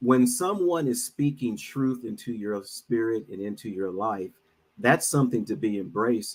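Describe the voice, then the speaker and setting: Here is a man with an unremarkable speaking voice and lively intonation. He keeps a moderate pace in a very clean recording with a silent background. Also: medium pitch for a man. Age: 60s. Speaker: minister and financial advisor. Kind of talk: casual chat.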